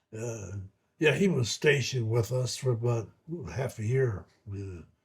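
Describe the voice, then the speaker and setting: A somewhat breathy man's voice of medium pitch, fairly slow, with lively intonation and an American accent. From US Midwest, Ohio. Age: 80s+. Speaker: war veteran. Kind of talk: oral history interview. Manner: halting.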